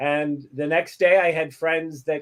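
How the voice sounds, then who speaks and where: A man's fairly high-pitched, fairly slow delivery in an ordinary speaking voice. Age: 60s. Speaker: talk show co-host. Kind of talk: casual chat.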